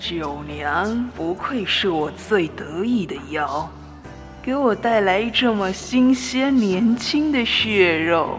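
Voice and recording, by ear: With clear music in the background, a woman uses a hoarse, put-on character voice of medium pitch at a very slow pace.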